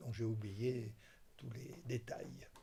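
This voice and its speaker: A man with a dark, mellow tone and vocal fry speaks at a very slow pace and medium pitch. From southern France, Toulon. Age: 70s. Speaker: retired doctor and film enthusiast. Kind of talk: interview testimony. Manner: hesitant, many fillers.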